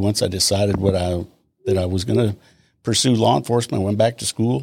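A man talks at a fairly quick pace in a fairly low voice with a Texan accent. His pitch varies in an ordinary way. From Texas, Austin. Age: 70s. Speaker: retired police officer. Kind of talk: interview.

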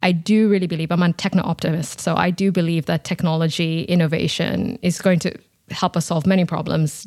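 A woman talks at a fairly quick pace with vocal fry. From Kenya, Nairobi. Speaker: energy policy researcher. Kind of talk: interview. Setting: video call.

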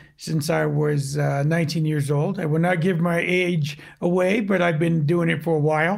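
A man with an ordinary speaking voice talks at a moderate pace, his fairly high pitch moving with ordinary variation. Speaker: audio video producer. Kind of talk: casual chat.

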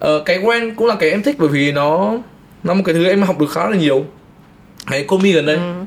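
A man speaks very fast at a high pitch, with lively intonation. Long, frequent pauses break up his speech. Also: very even loudness. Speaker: film and music video director. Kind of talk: casual chat.

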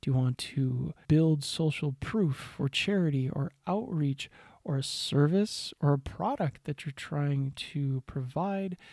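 A man talks very slowly with hardly any pauses, his fairly high, somewhat breathy voice showing ordinary pitch variation. The sound is dry and close, with no echo. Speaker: podcast host. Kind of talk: solo monologue tips. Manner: animated.

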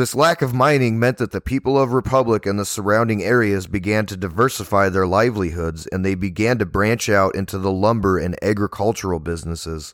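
A man's unremarkable speaking voice, fairly low in pitch, at a fairly quick pace with hardly any pauses and ordinary pitch variation. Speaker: podcast host. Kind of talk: history documentary narration. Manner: measured, even-paced and formal, like a teacher reading a well-organized script; clear, steady and informative with little emotional color.

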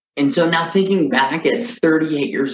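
With lively intonation and an unremarkable speaking voice, a man talks at a moderate pace. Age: 30s. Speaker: video podcast host. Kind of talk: solo personal monologue.

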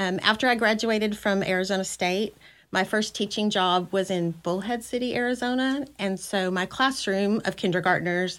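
A woman has an unremarkable speaking voice, with a medium pitch and ordinary pitch variation. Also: very clean recording, silent background. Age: 50s. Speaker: school district director of federal programs. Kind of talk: casual interview chat.

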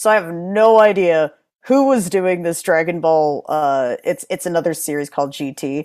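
A woman speaks at a moderate pace in a fairly low pitch with lively intonation. The recording is very clean, with a silent background. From Connecticut, US. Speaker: actress and martial artist. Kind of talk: casual chat.

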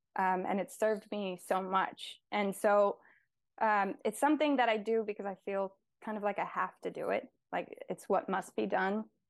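At a moderate pace, a woman speaks at medium pitch with ordinary pitch variation in an unremarkable speaking voice. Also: quiet background. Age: 20s. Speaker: nature poet and painter. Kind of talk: interview conversation with poetry readings.

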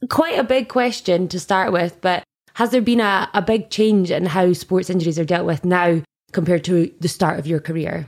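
A woman with a plain, everyday voice speaks at a moderate pace and a medium pitch, with ordinary pitch variation. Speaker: podcast presenter. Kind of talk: podcast interview.

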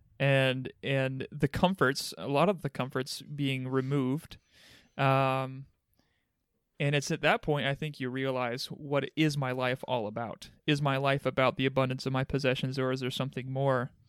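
A man with a plain, everyday voice, medium pitch and fairly even intonation at a moderate pace, in a dry, close sound with no echo and a very clean recording with a silent background. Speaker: pastor. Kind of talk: casual chat.

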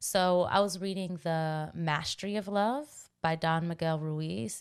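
A woman with an American accent and a fairly low pitch, on a very clean recording with a silent background. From Washington, D C. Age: 30s. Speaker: vocalist and meditation guide. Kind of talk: casual interview. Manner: calm.

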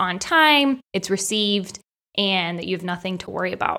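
A woman speaks at a moderate pace in a medium pitch, her bright, sharp tone carrying big swings in loudness and ordinary pitch variation. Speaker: podcast co-host. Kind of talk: casual chat. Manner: articulate.

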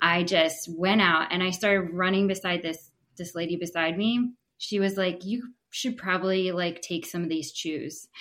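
In a plain, everyday voice, a woman talks at a moderate pace with a fairly low pitch and fairly even intonation. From Pennsylvania. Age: 30s. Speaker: triathlete guest. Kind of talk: casual interview. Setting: video call.

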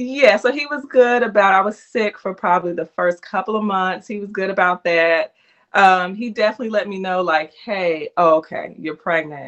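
A woman with an American accent, a plain, everyday voice, medium pitch, ordinary pitch variation, big swings in loudness, a moderate pace and hardly any pauses. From US South. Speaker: teacher and author. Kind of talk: interview.

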